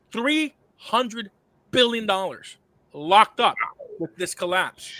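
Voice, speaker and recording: This man's raised, projected voice has a bright, sharp tone and a high pitch with ordinary pitch variation. The sound is dry and close, with no echo. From Cuba. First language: Spanish. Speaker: sound money advocate, former financial advisor. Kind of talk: podcast interview. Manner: fast, animated; halting with stammers.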